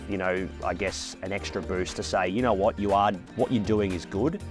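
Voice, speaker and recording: With music in the background, a man talks at a fairly quick pace, his fairly low pitch showing ordinary pitch variation. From Australia. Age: 20s. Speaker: horse racing commentator. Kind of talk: interview answer.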